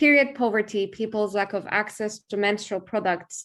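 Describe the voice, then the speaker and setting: With a Turkish accent, a woman talks at a medium pitch and moderate pace, her intonation fairly even. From eastern Turkey, Kurdish origin. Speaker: human rights lawyer and NGO founder. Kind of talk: online forum talk and Q&A. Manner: hesitant, frequent fillers.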